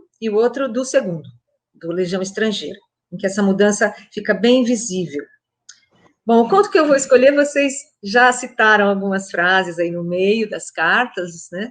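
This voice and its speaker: Here is a woman with a plain, everyday voice at a fairly high pitch. She speaks at a moderate pace with lively intonation. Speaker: literature professor. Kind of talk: lecture-style talk in a conversation.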